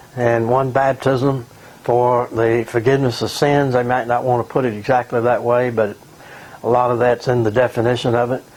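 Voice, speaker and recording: Noticeable background noise sits behind a man speaking at a medium pitch. His intonation is monotone and flat, and his loudness stays very even. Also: moderate pace. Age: 70s. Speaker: retired pastor and author. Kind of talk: recorded video message. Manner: halting.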